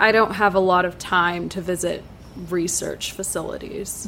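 A woman puts on a raspy character voice at a medium pitch, speaking at a moderate pace in a monotone, flat intonation. Clear background noise is present. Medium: audio drama. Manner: curt, sarcastic.

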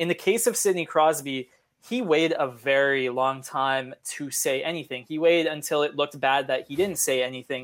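Ordinary pitch variation and a moderate pace mark this speech in a western Canadian accent. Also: man, fairly high pitch for a man. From Canada, Edmonton. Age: 20s. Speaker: sports journalist. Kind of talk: interview.

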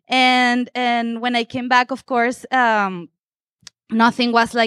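With a Spanish accent, a woman speaks very slowly at a high pitch. The sound is dry and close, without echo. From Venezuela. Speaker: photographer. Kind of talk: panel talk at photo exhibition.

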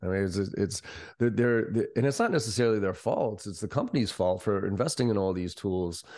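A man with an unremarkable speaking voice talks at a fairly quick pace. His pitch is fairly low with ordinary pitch variation, over a quiet background. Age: 40s. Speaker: sales trainer and company CEO. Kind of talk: interview.

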